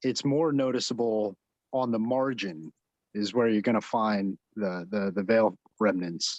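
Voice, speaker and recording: Mumbling at a fairly slow pace, a man with a New Jersey accent speaks with ordinary pitch variation. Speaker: mycology club member presenting finds. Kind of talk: show-and-tell presentation on video call.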